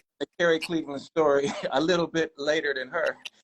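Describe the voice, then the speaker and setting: An ordinary speaking voice from a man, fairly high in pitch, at a moderate pace with a dry, close sound and no echo. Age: 60s. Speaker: jazz guitarist and musician. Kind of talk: casual interview chat.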